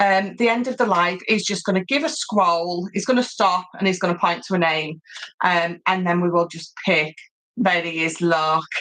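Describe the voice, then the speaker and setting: A woman speaks loudly in a British accent, her tone bright and sharp. Her pitch is medium with ordinary variation, and her pace is moderate. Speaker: craft tutorial presenter. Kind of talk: live craft tutorial. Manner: animated.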